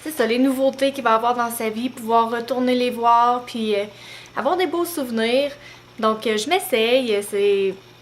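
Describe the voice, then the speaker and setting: Over noticeable background noise, a woman speaks at a fairly slow pace, with a high pitch and ordinary pitch variation. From Quebec, Beauce region. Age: 20s. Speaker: mom vlogger. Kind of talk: casual vlog talk to camera. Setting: at home, handheld camera. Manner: hesitant, many fillers.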